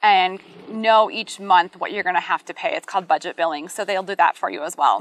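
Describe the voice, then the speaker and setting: Recorded dry and close with no echo, a woman with an American accent talks at a fairly quick pace with ordinary pitch variation in an unremarkable speaking voice. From US Midwest. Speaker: realtor. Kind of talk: casual chat.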